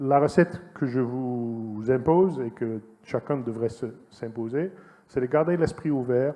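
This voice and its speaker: With a Dutch accent, a man speaks fairly slowly at a medium pitch. His pitch varies in an ordinary way, and he leaves long, frequent pauses. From Netherlands. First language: Dutch (speaking French). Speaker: entomologist, former agronomy lecturer-researcher. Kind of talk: conference talk. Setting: conference hall with audience. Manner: hesitant, many fillers.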